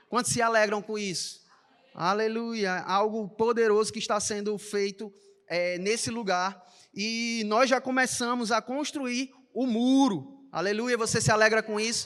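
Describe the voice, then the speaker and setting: The speaker talks at a fairly slow pace. The accent is a Recife accent. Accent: Recife (Pernambuco) accent, noticeable. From Brazil, Recife (Pernambuco). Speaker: church announcer. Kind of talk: church announcements. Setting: church service. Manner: animated.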